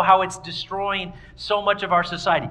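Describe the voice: A man speaks at a moderate pace in a high pitch with a bright, sharp tone. Room echo can be heard.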